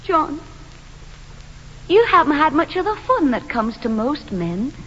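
In a put-on character voice, a woman speaks fairly slowly at a high pitch. Her tone is fairly bright and her pitch swings widely.

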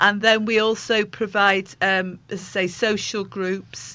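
A woman speaks with fairly even intonation. Her tone is bright and sharp.

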